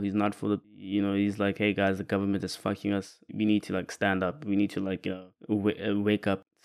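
A man talks at a fairly low pitch in a dark, mellow tone. The recording is very clean with a silent background and a dry, close sound with no echo. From South Africa. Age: 20s. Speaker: podcast host, filmmaker. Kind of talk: casual monologue film review.

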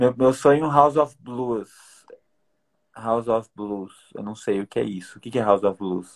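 In a plain, everyday voice, the speaker shows ordinary pitch variation and big swings in loudness. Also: man, medium pitch for a man. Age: 20s. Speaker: podcast host. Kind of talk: casual chat.

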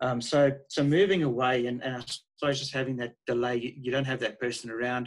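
Speaking at a fairly quick pace with a South African accent, a man keeps his intonation fairly even. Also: medium pitch for a man. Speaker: guest. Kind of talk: casual interview chat.

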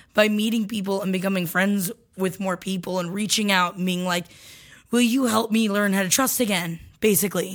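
A woman with an American accent and a plain, everyday voice, medium in pitch, with fairly even intonation, in a very clean recording with a silent background. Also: fairly quick pace. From Florida. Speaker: comedy podcast co-host. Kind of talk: casual chat and advice.

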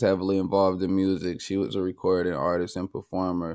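Over a quiet background, a man speaks at a fairly quick pace. His pitch is very deep and low, his tone dark and mellow. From Oakland, California. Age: 20s. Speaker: musician and producer, formerly incarcerated. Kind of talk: interview conversation.

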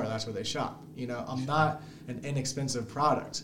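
In an American accent, a man talks at a moderate pace with medium pitch and ordinary pitch variation, against noticeable background noise and audible room echo. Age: 30s. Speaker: small business founder. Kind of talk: podcast interview. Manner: casual, laughing often.

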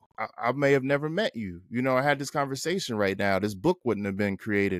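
Speaking at a fairly quick pace in an American accent, a man has a plain, everyday voice of medium pitch with ordinary pitch variation, recorded very cleanly against a silent background with a dry, close sound and no echo. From New Jersey. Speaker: author and photographer. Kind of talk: casual interview chat. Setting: studio.

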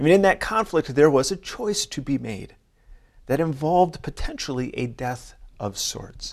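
This man has an ordinary speaking voice, fairly high in pitch, at a moderate pace. His intonation is lively, with big swings in loudness. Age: 40s. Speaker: pastor. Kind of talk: sermon.

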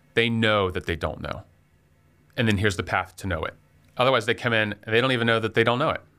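Talking at a very fast pace yet with long, frequent pauses, a man of medium pitch uses a bright, sharp tone and ordinary pitch variation. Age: 40s. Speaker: restaurant business owner. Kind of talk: casual interview.

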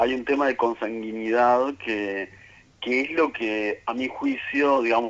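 Speaking at a moderate pace, a man keeps his intonation fairly even. His pitch is medium. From Uruguay, Montevideo. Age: 40s. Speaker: writer and researcher, statistician. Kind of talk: radio interview. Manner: hesitant, many fillers.

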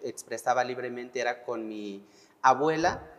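This man's voice sits at a medium pitch. He talks at a fairly slow pace. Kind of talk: testimony.

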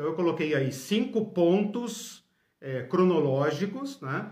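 Amid audible room echo, a high-pitched man speaks fairly slowly with lively intonation. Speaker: Bible teacher. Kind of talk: lecture.

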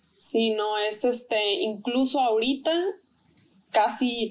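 Against a silent background in a very clean recording, a woman talks very slowly. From Tijuana, Mexico. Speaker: artist and textile designer. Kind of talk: interview.

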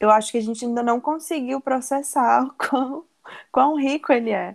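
A woman speaks in a high voice with ordinary pitch variation. The sound is dry and close, with no echo. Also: very clean recording, silent background. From Brasília, Brazil. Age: 20s. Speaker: podcast co-host, audiovisual translator. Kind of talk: casual chat.

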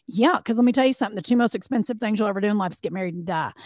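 A woman speaks in an animated tone, recorded very cleanly with a silent background and a dry, close sound with no echo. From Bell County, eastern Kentucky. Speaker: TV host and designer. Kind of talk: casual interview chat.

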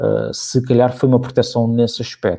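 At a fairly quick pace, a man talks in a medium pitch with a dark, mellow tone. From United States (raised there by Portuguese immigrant parents until 16). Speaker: marketing director at a betting company. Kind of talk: interview. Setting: live streamed broadcast. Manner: hesitant, many repeated words and fillers.

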